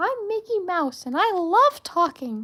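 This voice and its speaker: In a put-on character voice, the speaker goes at a fairly slow pace with an extremely high pitch and very wide pitch swings. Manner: cheerful.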